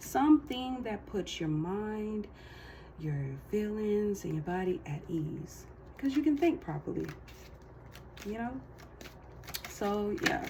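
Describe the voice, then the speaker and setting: A woman speaking very slowly with long, frequent pauses, over noticeable background noise. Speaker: tarot card reader. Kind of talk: casual tarot reading monologue.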